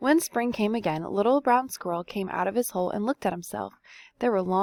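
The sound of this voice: The speaker reads in an unforced voice.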